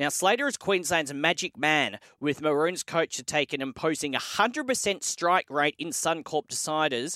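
With an Australian accent and a bright, sharp tone, a man speaks at a moderate pace in a very clean, dry, close recording with no echo and a silent background. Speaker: sports radio host. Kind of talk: morning sports news show.

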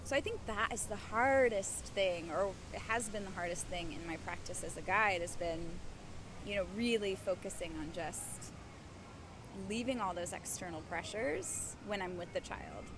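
Amid audible room echo, a woman speaks at a moderate pace and medium pitch with ordinary pitch variation. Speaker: yoga instructor and Montessori teacher. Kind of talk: casual interview. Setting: outdoors in a park.

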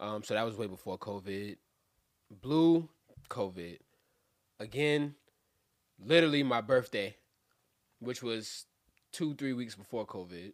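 On a very clean recording with a silent background, a man with a New York accent speaks at medium pitch and a fairly slow pace, using lively intonation and long, frequent pauses. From Brooklyn, New York. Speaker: rapper. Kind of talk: casual chat.

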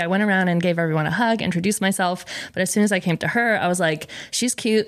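With an American accent, a woman speaks in a plain, everyday voice at medium pitch. Her intonation is fairly even and her pace fairly quick. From Rhode Island, US. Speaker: food content creator. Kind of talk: casual chat. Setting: studio.

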